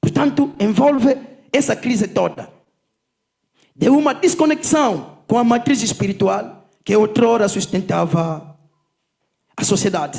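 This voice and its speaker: With a Kikongo accent, a man speaks at a high pitch and a fairly slow pace, his pitch swinging very widely between long, frequent pauses. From Angola, Zaire province. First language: Kikongo (speaking Portuguese). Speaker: politician and lecturer. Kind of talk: conference lecture. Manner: unhurried.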